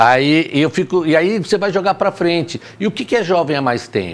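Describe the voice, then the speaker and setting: His intonation is lively, his pitch high. The man talks at a moderate pace. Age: 60s. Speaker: teacher. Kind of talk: casual chat.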